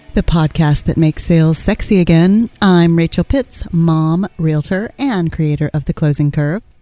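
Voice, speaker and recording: A woman speaks at a fairly low pitch and a moderate pace, with hardly any pauses. Music sits in the background. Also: ordinary pitch variation, very even loudness, dry, close sound with no echo. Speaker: podcast co-host, realtor. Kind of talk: casual chat; scripted introduction.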